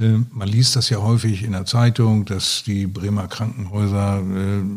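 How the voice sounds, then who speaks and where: Somewhat breathy, fairly slow speech with ordinary pitch variation, in a very clean recording with a silent background. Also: man. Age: 60s. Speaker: retired surgeon. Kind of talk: interview. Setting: at his home.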